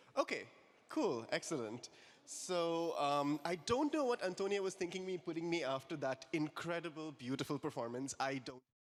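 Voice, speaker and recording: A man speaks loudly at a moderate pace. His voice is high, with lively intonation. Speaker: lecturer. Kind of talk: lecture.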